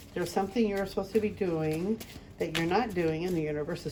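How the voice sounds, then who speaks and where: Noticeable background noise sits behind a woman talking. She speaks at a fairly quick pace with ordinary pitch variation. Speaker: spiritual medium, tarot card reader. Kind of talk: pick-a-card tarot reading. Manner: casual, with many filler words.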